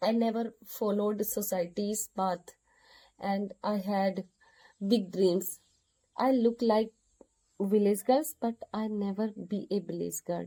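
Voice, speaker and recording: At a very slow pace, a woman with an Indian accent speaks at a medium pitch in a dark, mellow tone. Her long pauses come often. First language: Hindi. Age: 30s. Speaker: vlogger learning English. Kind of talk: personal monologue to camera. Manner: halting, repeating words.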